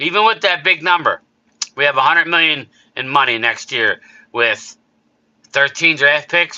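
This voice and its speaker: A man puts on a character voice. It is raspy and fairly high in pitch. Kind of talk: sports talk radio, analytical.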